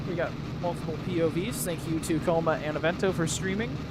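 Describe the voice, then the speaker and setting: In a room with audible echo and noticeable background noise, a man talks very fast in a high voice with fairly even intonation. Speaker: sim racing commentator. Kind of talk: live commentary. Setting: live stream. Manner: soft-spoken.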